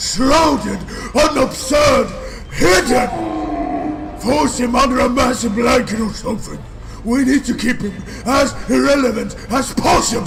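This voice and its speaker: A cartoonish character voice from a man, extremely high in pitch, at a fairly slow pace over clear background noise. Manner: rude, swearing, impatient.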